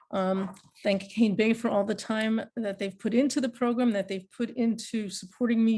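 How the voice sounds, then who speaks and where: Against a quiet background, a woman speaks at a moderate pace with a fairly high, somewhat breathy voice. Her intonation stays fairly even. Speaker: university professor. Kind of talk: closing remarks in a class webinar. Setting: video call webinar. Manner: halting, many fillers.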